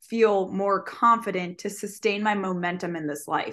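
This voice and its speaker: Against a quiet background, a woman uses a normal speaking voice at a medium pitch and moderate pace, with ordinary pitch variation. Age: 20s. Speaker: fitness coach and podcast co-host. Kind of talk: casual chat.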